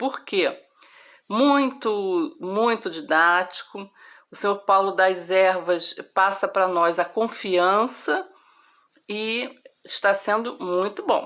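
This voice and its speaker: A woman at medium pitch talks at a very slow pace with ordinary pitch variation and long, frequent pauses. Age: 60s. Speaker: course student giving testimonial. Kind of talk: testimony.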